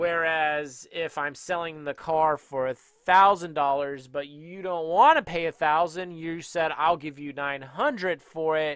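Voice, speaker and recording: The speech moves at a fairly slow pace with fairly even intonation, in a dry sound with no echo and a quiet background. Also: man. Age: 30s. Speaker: day trading educator. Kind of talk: tutorial. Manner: casual. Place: home room. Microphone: headset.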